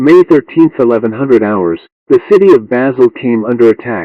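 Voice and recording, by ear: A man speaks at a medium pitch and a moderate pace, with lively intonation. The sound is dry and close, with no echo.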